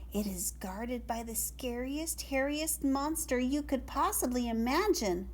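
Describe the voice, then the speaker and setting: Someone speaks in a put-on character voice with a fairly high pitch at a moderate pace, with background noise clearly present. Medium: read story. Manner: sweet, polite.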